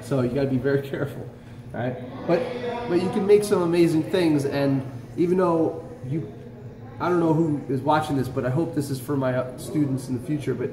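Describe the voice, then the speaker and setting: Noticeable background noise is present throughout. The delivery is fairly quick, with ordinary pitch variation. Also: man. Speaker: shop teacher. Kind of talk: lecture. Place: workshop. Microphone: phone near.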